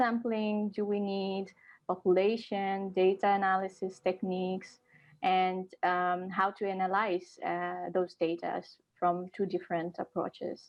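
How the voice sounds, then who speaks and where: The speech moves at a fairly slow pace in a monotone, flat intonation. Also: woman, medium pitch for a woman. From Nepal. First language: Nepali. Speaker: social sciences researcher. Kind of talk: podcast interview. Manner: hesitant, many fillers.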